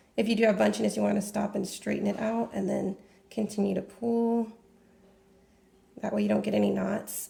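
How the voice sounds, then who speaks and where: A woman uses a put-on character voice that sounds raspy. She moves at a fairly quick pace with long, frequent pauses. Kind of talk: instructional, tutorial.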